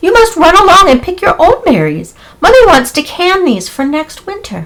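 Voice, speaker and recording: A put-on character voice, female-sounding and squeaky, comes at an extremely high pitch. The pace is moderate. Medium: read story.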